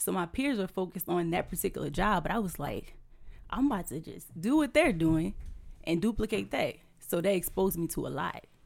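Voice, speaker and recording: Fairly quick speech with lively intonation and vocal fry comes through on a very clean recording with a silent background. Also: woman, fairly low pitch for a woman. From Louisiana (Houma). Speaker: entrepreneur and realtor. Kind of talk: casual interview.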